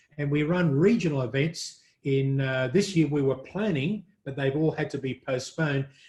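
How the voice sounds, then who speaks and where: A man with an Australian accent speaks at a moderate pace in a fairly high, somewhat breathy voice with ordinary pitch variation. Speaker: print industry media executive. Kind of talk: interview.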